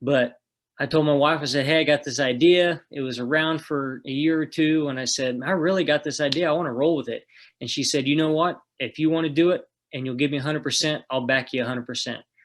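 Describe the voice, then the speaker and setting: A man with an Oklahoma accent talks at a very fast pace in a fairly high voice, his intonation fairly even over a quiet background. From northeast Oklahoma. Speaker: food truck owner. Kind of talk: casual interview.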